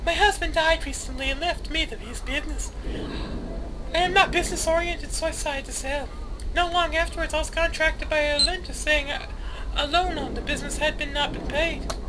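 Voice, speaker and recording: A man does a put-on character voice, squeaky and extremely high-pitched, at a fairly quick pace. Loud background noise runs underneath. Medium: game stream. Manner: earnest, anxious.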